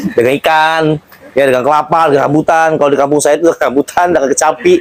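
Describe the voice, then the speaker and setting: Talking at a very fast pace, a man with a fairly high voice keeps very even loudness and fairly even intonation. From Jakarta outskirts, Betawi. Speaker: interview host. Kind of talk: interview. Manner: casual, conversational.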